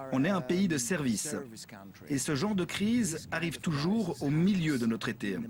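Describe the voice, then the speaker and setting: This man's voice is fairly high in pitch. It swings very widely up and down. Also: moderate pace, very even loudness. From Greece. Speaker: hotel owner. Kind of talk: interview.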